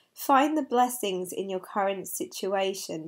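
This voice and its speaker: Fairly slow and with very wide pitch swings, a woman speaks on a very clean recording with a silent background. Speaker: angel card reader. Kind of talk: card reading monologue.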